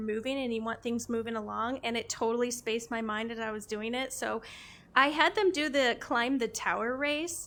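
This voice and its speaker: This woman has an American accent and a high pitch, talking at a moderate pace with ordinary pitch variation. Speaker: VR streamer and interviewer. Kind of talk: casual gaming stream talk.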